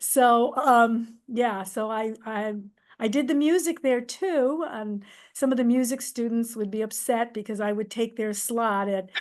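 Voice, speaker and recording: A woman speaks at a fairly slow pace. Her pitch is fairly high, over a quiet background. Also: ordinary pitch variation. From Massachusetts. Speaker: nurse and theater director. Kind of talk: podcast interview.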